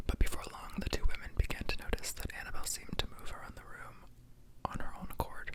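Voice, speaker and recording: A man whispers at a very fast pace. Noticeable background noise runs underneath. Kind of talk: read-aloud true horror story. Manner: whispered.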